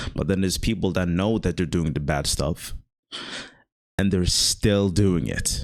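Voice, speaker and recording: This man's voice is very deep and low, with ordinary pitch variation. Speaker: content creator vlogger. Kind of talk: casual monologue vlog. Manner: fast; rambling, hesitant with fillers.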